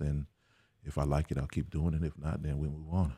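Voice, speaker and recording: This man's pitch sits very deep and low, with a dark, mellow tone. His intonation stays monotone and flat. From US Virgin Islands (St. Croix), raised in Houston, Texas. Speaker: voice over artist and educator. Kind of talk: casual interview. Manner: hesitant, many fillers.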